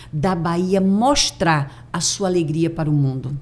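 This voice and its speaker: The speaker is a woman. Her intonation is lively. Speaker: mindset and neuroscience coach. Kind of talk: podcast interview.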